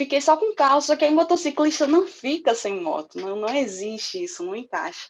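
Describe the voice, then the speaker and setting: In a northeastern Brazilian accent, a woman speaks at a high pitch with very wide pitch swings. Her pace is fairly quick. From Northeast Brazil. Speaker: public security worker and motorcyclist. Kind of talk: interview answer recorded online.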